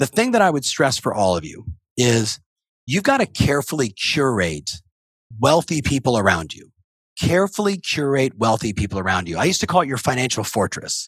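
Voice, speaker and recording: Medium-pitched male voice with an American accent, vocal fry, very wide pitch swings, big swings in loudness and a fairly quick pace. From US West Coast. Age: 50s. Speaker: real estate coach. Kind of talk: interview. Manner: fast.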